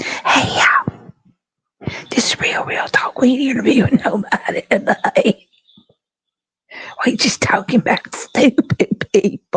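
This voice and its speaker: Someone whispers in a raspy, put-on character voice at a fairly slow pace, with long, frequent pauses. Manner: whispering.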